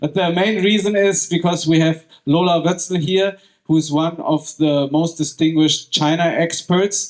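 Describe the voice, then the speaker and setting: A man speaks at a moderate pace with a German accent and a high pitch. His intonation is fairly even and his loudness stays very even. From Germany. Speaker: podcast host. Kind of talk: live event moderation. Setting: stage with audience.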